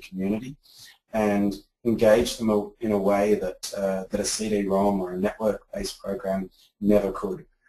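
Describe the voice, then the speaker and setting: Here a man with an Australian accent speaks at a fairly low pitch. His delivery is a flat monotone at a moderate pace. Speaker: edtech founder, former teacher. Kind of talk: interview. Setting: office. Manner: halting, many repetitions.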